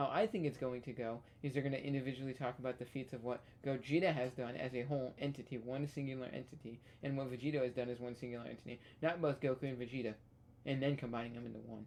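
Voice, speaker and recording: Quiet and at a medium pitch, a man speaks at a very fast pace with fairly even intonation. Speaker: gaming reaction youtuber. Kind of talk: casual chat. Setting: at home late at night. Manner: quiet, hushed.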